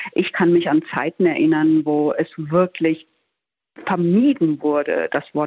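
A woman's fairly low-pitched voice at a very slow pace, with ordinary pitch variation. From Ruhr area, Germany (Duisburg). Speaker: journalist. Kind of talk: radio interview.

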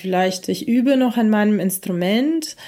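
Her pitch is fairly high, with ordinary variation. The woman is heard in a very clean recording with a silent background. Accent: Russian. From Ukraine (Kyiv), born in Russia. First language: Russian (speaking German). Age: 40s. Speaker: musician. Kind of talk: interview.

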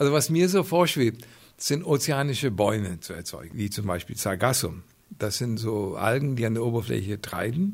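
A man's somewhat breathy voice at a moderate pace, with very wide pitch swings. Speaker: marine scientist. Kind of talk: interview.

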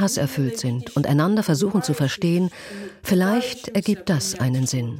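With noticeable background noise behind her, a woman speaks at a moderate pace in a fairly low voice that swings very widely in pitch. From southern Russia. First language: Russian (speaking German). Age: 30s. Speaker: sales manager. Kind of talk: interview testimony (German voice-over). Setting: video call.

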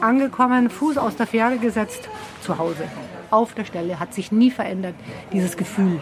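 With music in the background, a woman talks at a moderate pace in a fairly high pitch, using lively intonation and long, frequent pauses. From Bavaria, Germany. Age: 60s. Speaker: hiking guide. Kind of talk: interview. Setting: bakery.

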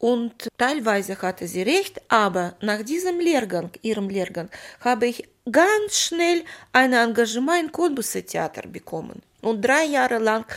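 On a very clean recording with a silent background, a voice with a Russian accent swings very widely in pitch. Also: woman. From Moldova. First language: Russian (speaking German). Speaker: actress. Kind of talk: interview.

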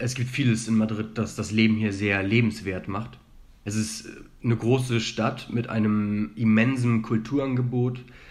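There is audible room echo as a man talks at a fairly slow pace with monotone, flat intonation. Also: medium pitch for a man. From Germany. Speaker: student. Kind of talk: interview. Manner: hesitant, many filler sounds.

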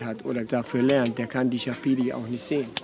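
A man talks over noticeable background noise. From Venezuela, German emigrant family. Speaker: expedition tour operator and interpreter. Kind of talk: interview and live interpreting. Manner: halting.

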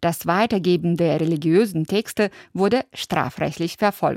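A woman speaks in an ordinary speaking voice at a fairly slow pace and a fairly low pitch. The very clean recording sounds dry and close, with no echo and a silent background. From former Soviet Union. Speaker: radio host. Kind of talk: scripted narration.

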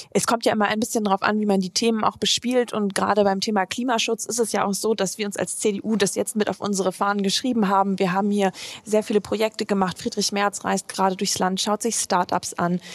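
A woman talks at a very fast pace with hardly any pauses. Her intonation is monotone and flat, and the sound is dry and close with no echo. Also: medium pitch for a woman. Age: 20s. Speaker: politician. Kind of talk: interview.

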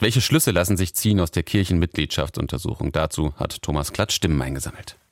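A man's very deep, low voice with vocal fry, in a dry, close sound with no echo. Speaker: radio presenter. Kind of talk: radio presentation.

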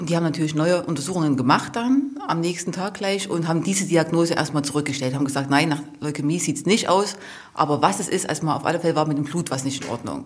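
A woman with a very deep, low pitch talks at a very fast pace. Room echo is audible. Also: ordinary pitch variation. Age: 40s. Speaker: mother of a patient. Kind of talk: interview testimony.

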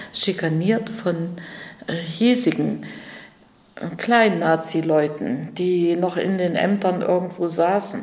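A woman with a fairly low pitch speaks at a very slow pace, leaving long, frequent pauses. Her loudness stays very even and her pitch varies in an ordinary way, with noticeable background noise behind her. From Erfurt, Thuringia. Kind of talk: interview.

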